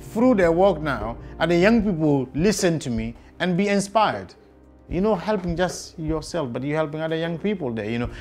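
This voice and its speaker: A man's high-pitched voice at a fairly quick pace, lively in intonation, with music in the background. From Guinea. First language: not English. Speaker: care leaver. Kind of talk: interview answer.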